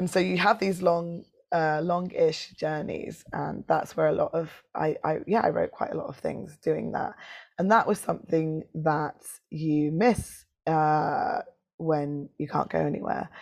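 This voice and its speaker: A London accent at a fairly slow pace, over a quiet background. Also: woman. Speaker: poet and performer. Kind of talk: casual interview chat.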